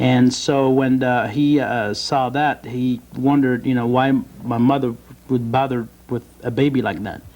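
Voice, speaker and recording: Speaking with a French accent, a man talks at a fairly slow pace in a monotone, flat intonation. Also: medium pitch for a man. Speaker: bodybuilder and youth mentor. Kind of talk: TV interview. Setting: TV studio. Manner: halting, many fillers.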